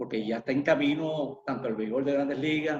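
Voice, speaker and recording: A man with an unremarkable speaking voice and a fairly high pitch talks at a moderate pace. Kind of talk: interview host questions.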